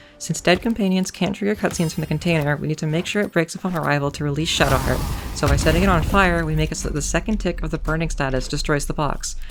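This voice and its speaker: Hardly pausing, a woman talks at a very fast pace with music in the background. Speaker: speedrunner. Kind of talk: video game commentary narration.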